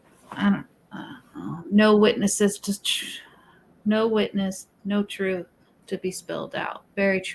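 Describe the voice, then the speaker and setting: Over noticeable background noise, a woman talks at a fairly slow pace in a medium pitch, her intonation fairly even but her loudness swinging widely. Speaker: true crime livestream host. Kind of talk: casual discussion livestream with reading aloud. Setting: livestream. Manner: stutters when agitated.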